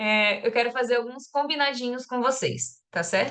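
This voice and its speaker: A woman is speaking. She keeps a moderate pace. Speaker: course coordinator. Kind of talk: online class announcements.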